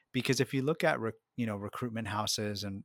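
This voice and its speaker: Dry and close with no echo, this very clean recording with a silent background captures a man at medium pitch with ordinary pitch variation. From US, Mexican American family. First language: Spanish. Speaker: market research firm owner. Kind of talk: interview. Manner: hesitant fillers.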